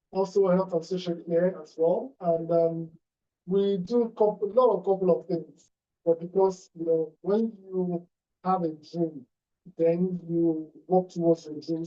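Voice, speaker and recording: Music plays in the background while the speaker keeps a moderate pace. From Nigeria. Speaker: real estate entrepreneur. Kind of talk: motivational talk.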